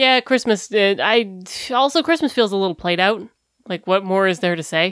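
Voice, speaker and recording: A woman's unremarkable speaking voice at a moderate pace, with lively intonation. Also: medium pitch for a woman. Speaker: podcast host. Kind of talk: casual chat. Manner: loud.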